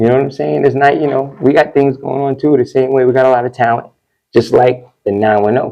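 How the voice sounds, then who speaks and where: Speaking at a fairly quick pace with a New York accent, a man's voice sits at medium pitch. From New York, Westchester County (New Rochelle). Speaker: DJ. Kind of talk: interview. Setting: studio. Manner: animated.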